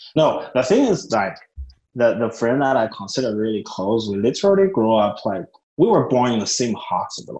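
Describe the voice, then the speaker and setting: With a Chinese accent, a man talks at medium pitch and a moderate pace, his tone dark and mellow and his intonation lively. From small-town China. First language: Mandarin Chinese. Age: 20s. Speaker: MBA student. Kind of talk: casual interview. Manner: halting.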